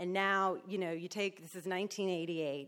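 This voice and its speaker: A woman with a New Jersey accent, medium pitch, at a fairly quick pace. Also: very clean recording, silent background. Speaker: recovering alcoholic. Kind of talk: testimony. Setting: stage with audience. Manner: loud.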